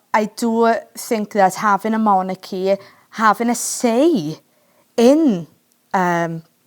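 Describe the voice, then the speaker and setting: A woman with a Welsh accent speaks at a very slow pace, her pitch medium and its variation ordinary, with long, frequent pauses. The recording is very clean, with a silent background. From Wales. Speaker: podcast host. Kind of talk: podcast interview.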